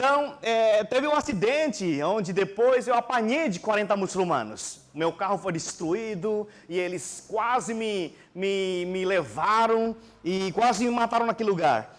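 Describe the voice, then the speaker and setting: A man's high-pitched voice at a fairly slow pace. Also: lively intonation. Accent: non-native. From Indonesia. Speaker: pastor. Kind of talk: sermon. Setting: church.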